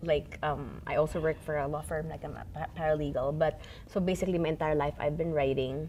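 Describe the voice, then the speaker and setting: Her pitch very deep and low, a woman talks at a fairly quick pace in a monotone, flat way. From Philippines. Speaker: writer, journalist, paralegal. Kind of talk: interview answer.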